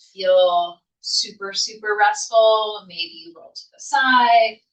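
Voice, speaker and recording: A woman at a fairly high pitch with ordinary pitch variation and an ordinary speaking voice. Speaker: yoga instructor. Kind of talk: guided yoga class. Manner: calm, soothing.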